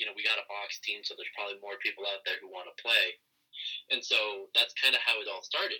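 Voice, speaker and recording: Delivered at a very fast pace, the speech shows big swings in loudness. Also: man. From Western Washington, US. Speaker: amateur lacrosse player and nurse. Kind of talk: casual chat. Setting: remote call.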